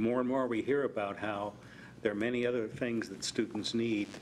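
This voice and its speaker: A man of medium pitch at a moderate pace, with monotone, flat intonation. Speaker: school board member. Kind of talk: board meeting report. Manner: trails off.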